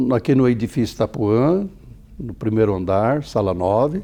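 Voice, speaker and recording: Here a man speaks at a fairly slow pace. His tone is dark and mellow. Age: 70s. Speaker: optometrist. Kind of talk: TV interview.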